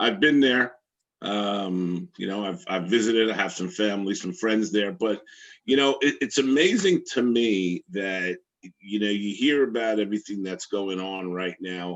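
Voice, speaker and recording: This man talks at a moderate pace in a fairly low pitch with ordinary pitch variation. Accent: Brooklyn. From Brooklyn, New York. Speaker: interviewer. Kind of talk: interview.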